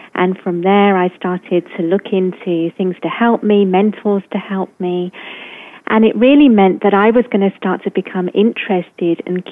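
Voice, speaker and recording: Speaking in a British accent, the voice keeps a moderate pace and fairly even intonation. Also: woman. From England. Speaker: coach or speaker on love and relationships. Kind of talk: casual interview chat.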